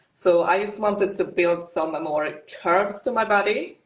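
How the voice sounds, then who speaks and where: This woman speaks with a Swedish accent. Her intonation stays fairly even. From Sweden. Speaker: fitness competitor. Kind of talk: interview.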